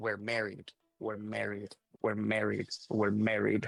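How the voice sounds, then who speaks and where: A man's quiet, raspy put-on character voice, fairly low in pitch. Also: fairly slow pace. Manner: quiet, muttered to himself.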